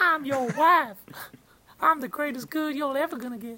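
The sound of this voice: A female-sounding speaker puts on a character voice, pitched high and delivered at a moderate pace.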